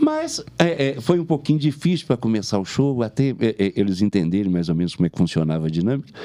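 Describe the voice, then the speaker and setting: Speaking very fast with hardly any pauses, a man uses a dark, mellow tone and very wide pitch swings. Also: medium pitch for a man. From Belo Horizonte, Minas Gerais, Brazil. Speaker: comedian. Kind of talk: casual chat.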